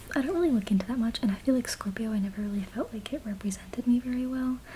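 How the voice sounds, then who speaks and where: Soft-spoken whispering over noticeable background noise. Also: woman. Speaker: ASMR creator. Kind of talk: casual talk to camera, Q&A. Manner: soft-spoken, whispered.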